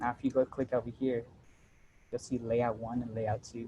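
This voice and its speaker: A man's voice comes across dark and mellow in tone and somewhat breathy. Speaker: workshop presenter teaching AutoCAD. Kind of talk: tutorial. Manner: fast; casual, with many fillers.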